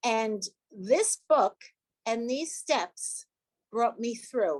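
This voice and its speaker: A woman speaks at a very slow pace in a fairly high pitch. Her intonation is lively, and the sound is dry and close with no echo. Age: 70s. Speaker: 12-step meeting speaker, retired nurse. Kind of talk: personal testimony. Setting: video call. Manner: halting.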